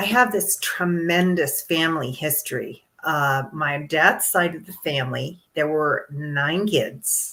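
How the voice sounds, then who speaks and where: A woman's very deep, low voice at a very slow pace, with ordinary pitch variation and big swings in loudness. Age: 60s. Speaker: longevity coach. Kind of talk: interview. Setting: live podcast.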